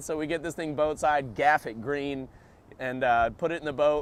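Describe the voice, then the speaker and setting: Speaking at a moderate pace with an American accent, a man has a fairly high pitch and a plain, everyday voice. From South Florida, USA. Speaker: sport fisherman and surfer. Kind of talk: interview answer. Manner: casual, laid-back.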